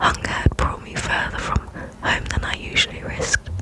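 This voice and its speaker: Moderately paced whispering from a woman amid noticeable background noise. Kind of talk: fiction book reading. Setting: home microphone recording. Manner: whispered, soft.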